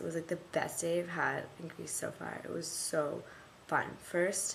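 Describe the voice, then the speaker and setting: A woman's fairly low voice with an American accent, with audible room echo. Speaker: vlogger, study abroad student. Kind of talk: video diary. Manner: rambling with fillers.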